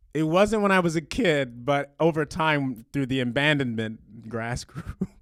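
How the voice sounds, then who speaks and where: Pitched fairly high, a man talks at a moderate pace with lively intonation. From US South, eastern Alabama. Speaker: comedian. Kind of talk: casual chat.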